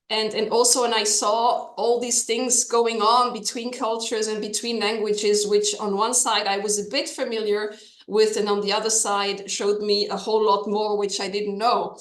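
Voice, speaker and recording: A woman in a French accent talks at a moderate pace with hardly any pauses, her pitch fairly high and her intonation fairly even, with audible room echo and noticeable background noise. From Switzerland. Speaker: lawyer. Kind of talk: interview.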